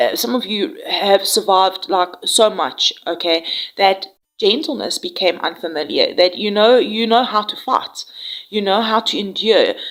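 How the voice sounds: With a medium pitch and a fairly bright, nasal tone, a woman speaks at a fairly slow pace, using lively intonation and few pauses.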